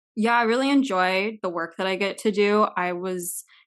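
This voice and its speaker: A woman speaks with an American accent and ordinary pitch variation. The background is quiet. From US Pacific Northwest, southeastern Washington. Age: 20s. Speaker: climate justice organizer. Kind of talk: podcast interview.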